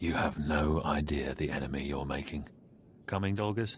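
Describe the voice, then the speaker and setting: A man growls in a put-on character voice at a very deep, low pitch and a moderate pace. Background noise is clearly audible. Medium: video game. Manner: smug, self-assured.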